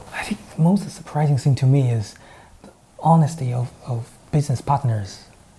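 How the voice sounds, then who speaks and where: With a Chinese accent, a man speaks at a moderate pace in a fairly high pitch with ordinary pitch variation, over noticeable background noise. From China. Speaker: startup founder. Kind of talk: interview. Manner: hesitant, many fillers.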